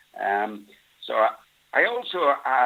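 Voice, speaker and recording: The speaker is a man. He has a Yorkshire accent. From northern England, near Bradford, Yorkshire. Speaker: wool industry expert. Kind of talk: interview.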